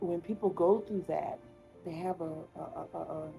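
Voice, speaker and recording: A woman talks fairly slowly with music playing in the background. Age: 20s. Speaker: content creator. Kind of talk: podcast, personal story told to camera. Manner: casual, hesitant, many fillers.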